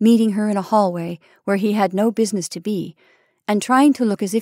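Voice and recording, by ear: The speaker reads aloud in a natural voice, keeping intonation fairly even over a quiet background.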